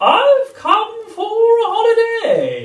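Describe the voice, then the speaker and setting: At an extremely high pitch, the voice is a put-on character voice. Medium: read story. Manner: grand, self-satisfied.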